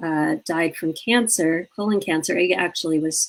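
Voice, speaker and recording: Using an ordinary speaking voice, a woman with a fairly low pitch talks at a fairly slow pace. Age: 60s. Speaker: grief and living-fully advocate. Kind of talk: interview conversation.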